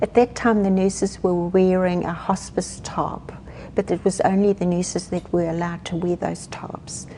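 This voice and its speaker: Through noticeable background noise, a woman with a South African accent speaks at a moderate pace and medium pitch in a monotone, flat intonation. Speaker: hospice counsellor. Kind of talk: interview. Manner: halting.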